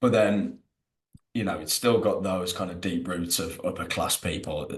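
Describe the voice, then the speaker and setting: A man speaks with a West Midlands accent. His pace is moderate. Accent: local West Midlands. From English West Midlands. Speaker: rugby content creator. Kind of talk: casual podcast interview. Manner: casual, hesitant with fillers.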